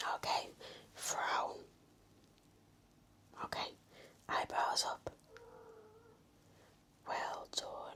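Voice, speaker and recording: Whispering at a very slow pace in a gentle tone, with long, frequent pauses. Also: woman. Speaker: ASMR nurse roleplay performer. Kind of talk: ASMR medical roleplay, nurse talking to the listener. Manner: soft-spoken, gentle, reassuring.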